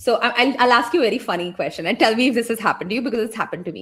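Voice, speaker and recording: A woman with an Indian accent speaks at a fairly high pitch, her intonation lively. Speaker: business and brand coach. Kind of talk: interview conversation. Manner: animated.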